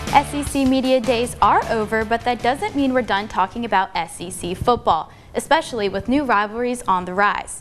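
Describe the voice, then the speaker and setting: With music in the background, a woman with an American accent talks at a moderate pace with hardly any pauses, her pitch fairly high and its variation ordinary. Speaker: sports and news reporter, broadcast journalism student. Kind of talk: TV news and sports anchor/reporter read.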